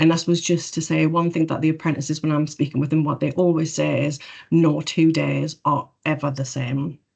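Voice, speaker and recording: A woman with a Geordie accent talks at a fairly quick pace in a very deep, low pitch. Her intonation is monotone and flat, with vocal fry. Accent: Geordie (Newcastle). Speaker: government property profession staff. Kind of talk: webinar presentation. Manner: fast.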